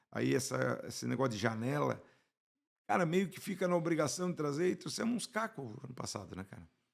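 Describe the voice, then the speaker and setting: Using vocal fry, a man speaks at a fairly quick pace with very wide pitch swings. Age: 60s. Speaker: football fan. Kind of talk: casual chat. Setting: studio.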